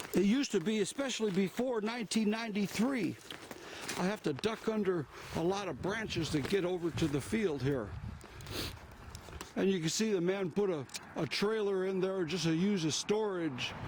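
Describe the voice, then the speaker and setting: A man speaks in a high-pitched voice with long, frequent pauses. Noticeable background noise is present. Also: lively intonation, moderate pace. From US, same local area all his life. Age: 60s. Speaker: outdoor vlogger, veteran. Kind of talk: walking vlog narration. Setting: outdoors, walking in woods. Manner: casual, halting with fillers.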